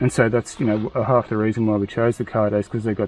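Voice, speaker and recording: A man mumbles quietly at a fairly low pitch. He talks at a very fast pace in a monotone, flat intonation. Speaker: motorcycle enduro vlogger. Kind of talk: casual product review chat. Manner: mumbling, quiet talker.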